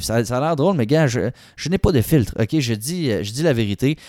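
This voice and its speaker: Speaking at a moderate pace with lively intonation and a Quebec accent, this voice comes through in a very clean recording with a silent background and a dry, close sound with no echo. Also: man. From Quebec City. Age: 20s. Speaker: podcast host. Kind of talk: personal testimony. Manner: casual, colloquial.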